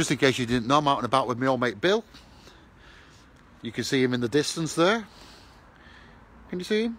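With lively intonation and a fairly bright tone, a man talks at a fairly quick pace broken by long, frequent pauses. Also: medium pitch for a man.

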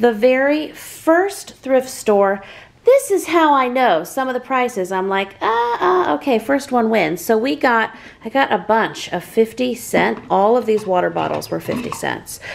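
Lively intonation runs through speech at a fairly slow pace. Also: woman. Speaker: family vlogger. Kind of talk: casual vlog chat. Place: home room. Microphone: phone near.

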